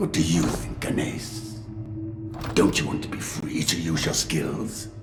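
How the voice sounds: Doing a put-on character voice, a man speaks at an extremely low pitch and slow pace with vocal fry and fairly even intonation as clear music plays in the background.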